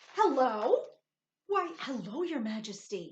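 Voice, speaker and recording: In a put-on character voice, a woman growls and turns shrill, her high pitch swinging very widely at a fairly slow pace. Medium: read story. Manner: snarling, shrill.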